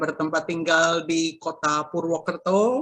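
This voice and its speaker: Very slowly, a woman speaks in a fairly low pitch. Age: 60s. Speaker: cancer survivor giving testimony. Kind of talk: testimony. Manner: hesitant, many fillers.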